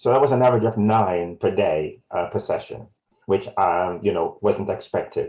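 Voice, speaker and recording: This man has a Jamaican accent. He talks at a moderate pace. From South Wales, born in Jamaica. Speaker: community health campaigner. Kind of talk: webinar presentation. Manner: halting.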